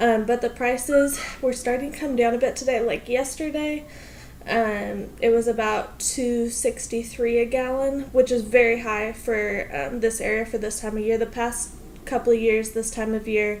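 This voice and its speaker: At a moderate pace, a woman speaks in an American accent with a fairly high pitch. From US Pacific Northwest. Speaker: vlogger. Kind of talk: casual vlog. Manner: energetic.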